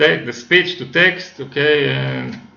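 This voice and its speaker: A man speaks with a non-native accent and ordinary pitch variation. Audible room echo and noticeable background noise are in the recording. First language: not English. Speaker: software developer. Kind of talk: tutorial. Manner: halting, many fillers.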